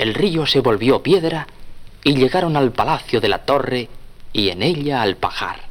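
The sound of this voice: A man with a medium pitch talks at a moderate pace, his intonation lively.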